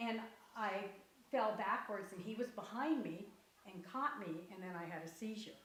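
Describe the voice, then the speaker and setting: A woman of medium pitch talks at a moderate pace with ordinary pitch variation and long, frequent pauses, amid noticeable background noise and audible room echo. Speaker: grandmother recounting illness. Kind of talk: interview. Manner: animated.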